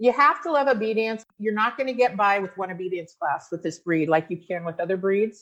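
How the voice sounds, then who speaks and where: An animated tone with lively intonation, a fairly quick pace and hardly any pauses. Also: woman, medium pitch for a woman. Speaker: dog breeder and show judge. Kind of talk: interview. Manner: loud.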